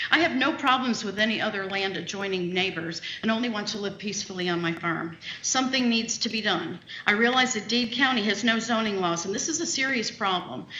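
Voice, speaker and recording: With noticeable background noise and audible room echo, a woman talks at a fairly quick pace in a medium pitch with lively intonation. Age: 60s. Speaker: citizen speaking at public meeting. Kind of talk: public comment at a county meeting. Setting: meeting room with PA microphone. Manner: fast.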